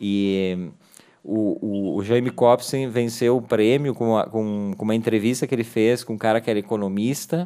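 Recorded very cleanly against a silent background, a man talks at a medium pitch and moderate pace in an unremarkable speaking voice with ordinary pitch variation. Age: 40s. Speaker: radio host. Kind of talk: casual chat.

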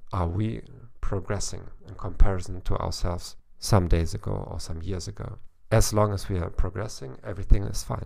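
In a German accent, a man speaks at a moderate pace with a very deep, low pitch, vocal fry, ordinary pitch variation and big swings in loudness. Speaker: psychologist, author and German teacher, podcast host. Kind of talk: podcast monologue, informative talk.

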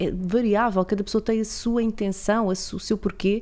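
A woman's medium-pitched voice, dark and mellow in tone, with monotone, flat intonation, a fairly quick pace and a very clean recording with a silent background. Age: 40s. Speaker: podcast host. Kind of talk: interview.

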